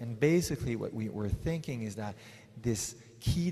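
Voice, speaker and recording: Audible room echo surrounds a man speaking at a medium pitch. His pitch varies in an ordinary way. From Switzerland. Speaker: psychologist. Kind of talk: conference talk. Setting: stage with audience. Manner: slow; halting.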